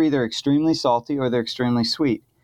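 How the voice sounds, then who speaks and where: With an American accent, a man speaks at medium pitch with fairly even intonation in an unremarkable speaking voice. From California. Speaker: chef. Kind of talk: casual chat.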